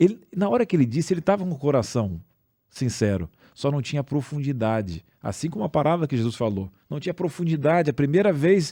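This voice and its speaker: In a very clean recording with a silent background, a man with a fairly high pitch and a dark, mellow tone speaks at a fairly quick pace with very wide pitch swings. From southern Brazil, Rio Grande do Sul. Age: 40s. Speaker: podcast co-host. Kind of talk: religious discussion.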